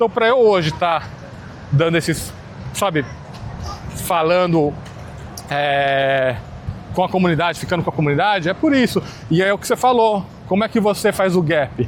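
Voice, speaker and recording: A man's high-pitched voice at a moderate pace, lively intonation, long and frequent pauses, and noticeable background noise. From Brazil, São Paulo (born in Minas Gerais). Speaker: podcast host. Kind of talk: casual interview chat.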